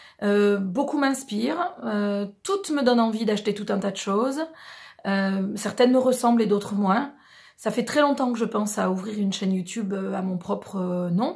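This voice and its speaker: In a very clean recording with a silent background, a woman speaks somewhat breathily. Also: medium pitch for a woman, ordinary pitch variation, moderate pace. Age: 40s. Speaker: beauty and lifestyle vlogger. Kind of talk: casual vlog introduction. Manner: hesitant, many fillers.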